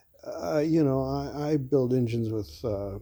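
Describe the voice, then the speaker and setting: Background music is playing. A man talks over it. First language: not English. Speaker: engine builder. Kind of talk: workshop tutorial. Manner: casual, with frequent fillers.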